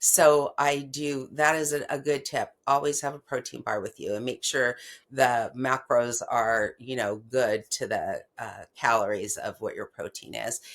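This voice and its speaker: A woman's fairly slow speech with hardly any pauses. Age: 60s. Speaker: patient sharing her health story. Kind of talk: interview. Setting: podcast interview. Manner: casual, filler-heavy.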